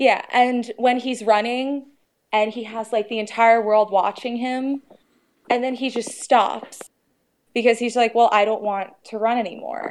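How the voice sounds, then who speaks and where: At a fairly slow pace, a woman with an unremarkable speaking voice talks in a fairly high pitch with fairly even intonation. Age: 20s. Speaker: caller, female bodybuilder. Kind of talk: call-in advice conversation.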